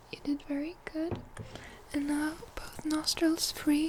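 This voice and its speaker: Soft-spoken and calm in tone, the speaker goes at a very slow pace with noticeable background noise behind. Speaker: ASMR creator playing a doctor. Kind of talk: ASMR medical role-play, soft-spoken. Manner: soft-spoken, calm.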